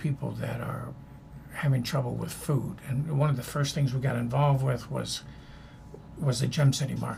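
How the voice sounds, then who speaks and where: The room echo is audible while a man talks at a moderate pace. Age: 80s+. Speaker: former ambassador and anti-hunger advocate. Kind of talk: interview conversation. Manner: halting, many fillers.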